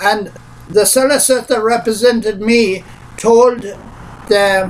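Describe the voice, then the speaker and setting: A man with an Irish accent speaks fairly slowly in a high pitch with fairly even intonation, over noticeable background noise. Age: 60s. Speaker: pensioner. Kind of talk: personal statement to camera. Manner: hesitant.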